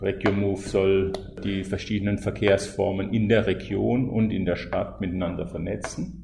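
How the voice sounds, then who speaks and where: A man speaks with a fairly low pitch at a moderate pace and fairly even intonation, amid noticeable background noise and audible room echo. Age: 50s. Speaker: freelance mobility consultant, climate coach. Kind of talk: interview. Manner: halting, with fillers.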